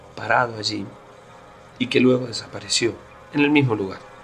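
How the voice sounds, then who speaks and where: A man's medium-pitched voice is heard through noticeable background noise. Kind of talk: first-person paranormal story told on radio.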